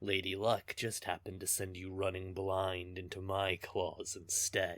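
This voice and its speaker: In a put-on character voice, the speaker goes at a moderate pace on a very clean recording with a silent background. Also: man, very deep, low pitch for a man. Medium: audio drama. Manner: teasing, smug, laughing.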